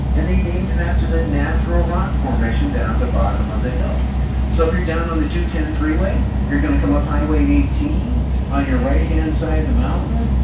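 Talking at a fairly quick pace, a man is heard with audible room echo and loud background noise. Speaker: boat captain tour guide. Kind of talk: tour guide commentary. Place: boat.

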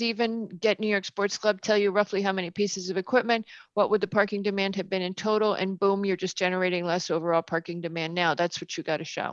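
A woman talks very fast at medium pitch with fairly even intonation, in a dry, close recording with no echo and a quiet background. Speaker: planning commission member. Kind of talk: public meeting discussion.

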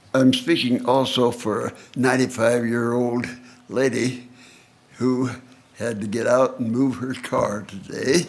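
Speaking at a fairly slow pace, a man leaves long, frequent pauses in a monotone, flat intonation. His pitch is medium, and room echo is audible. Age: 90s. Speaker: senior citizen speaking at public meeting. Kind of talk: public comment at council meeting. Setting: council chambers.

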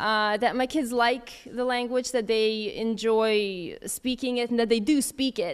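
A woman at a fairly high pitch and fairly slow pace, with ordinary pitch variation

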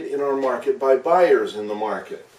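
There is audible room echo around a man's voice. He speaks at a moderate pace with ordinary pitch variation. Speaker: economics teacher. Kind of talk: lecture. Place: home room. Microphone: camera far.

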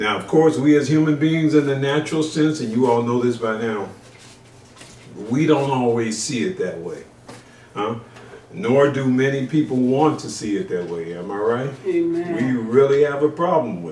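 Big swings in loudness mark this man's moderate-paced speech, heard with audible room echo and light background noise. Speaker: pastor. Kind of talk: sermon. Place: home room.

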